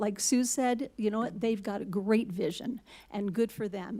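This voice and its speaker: A woman talks in a plain, everyday voice at a fairly slow pace. Her pitch is fairly high, and her intonation stays fairly even. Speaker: public commenter, resident. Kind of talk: public comment at meeting. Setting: city hall meeting.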